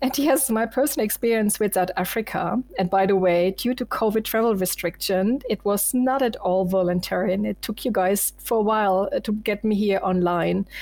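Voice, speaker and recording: The speaker has a German accent and keeps a moderate pace with hardly any pauses. Loudness stays very even, and the pitch varies in an ordinary way. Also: woman, medium pitch for a woman. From Germany. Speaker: sales enablement manager. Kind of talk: interview.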